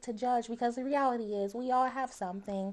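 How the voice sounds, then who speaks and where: A woman speaks with a high pitch and ordinary pitch variation. Her pace is moderate. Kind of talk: podcast conversation. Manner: warm, animated.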